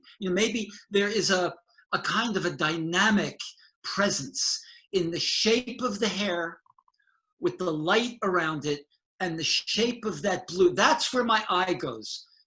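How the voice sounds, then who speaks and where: The voice is raised and projected, with lively intonation. It moves at a fairly slow pace, with long, frequent pauses. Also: man, high pitch for a man. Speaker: painter and art educator. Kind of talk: casual conversation. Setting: video call.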